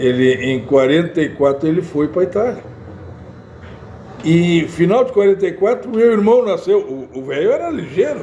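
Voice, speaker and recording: With noticeable background noise behind him, a man speaks at a high pitch at a moderate pace, his pitch swinging very widely between long, frequent pauses. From Porto Alegre, Rio Grande do Sul, Brazil. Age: 70s. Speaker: guest, freemason. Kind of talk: casual interview. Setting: café, live show. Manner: halting.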